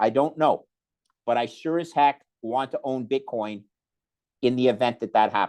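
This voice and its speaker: A man's normal speaking voice with ordinary pitch variation. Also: quiet background. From Canada. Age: 60s. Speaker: investor. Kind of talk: interview.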